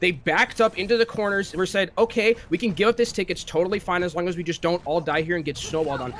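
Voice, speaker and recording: Against noticeable background noise, a man talks at a very fast pace in a high pitch with ordinary pitch variation. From France. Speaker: esports caster. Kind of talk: live commentary.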